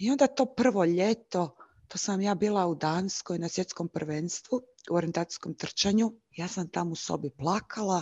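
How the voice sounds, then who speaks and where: Here a woman has an unremarkable speaking voice at medium pitch with ordinary pitch variation. The sound is dry and close with no echo, over a quiet background. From Croatia, Zagreb. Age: 30s. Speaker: YouTuber sharing lived experience of bipolar disorder. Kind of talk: interview, personal testimony.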